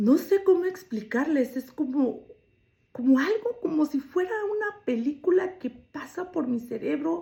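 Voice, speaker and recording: Her pitch is high and swings very widely. The woman speaks at a fairly slow pace. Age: 60s. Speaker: storyteller sharing own life. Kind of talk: personal testimony.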